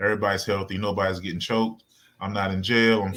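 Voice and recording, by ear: A man talks at a fairly quick pace in a fairly low pitch with a bright, sharp tone. The recording is very clean, with a silent background.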